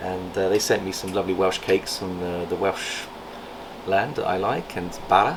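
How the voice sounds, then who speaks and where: A man with a very deep, low pitch speaks fairly quickly over noticeable background noise. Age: 60s. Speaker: reptile breeder and channel host. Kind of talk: casual vlog chat. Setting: reptile facility.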